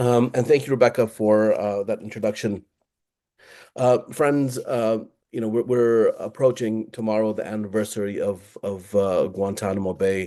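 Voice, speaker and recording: Man with a Californian accent, medium pitch and dark, mellow tone, fairly even intonation at a moderate pace over a quiet background. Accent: Californian American English. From Southern California. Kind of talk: panel talk. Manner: halting, many fillers.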